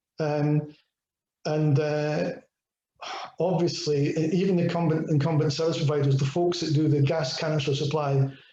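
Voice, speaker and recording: Speaking in a Scottish accent, a man with a fairly high pitch keeps a monotone, flat intonation and very even loudness, with long, frequent pauses. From Scotland. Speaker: IoT technology speaker. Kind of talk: webinar presentation with Q&A. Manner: fast.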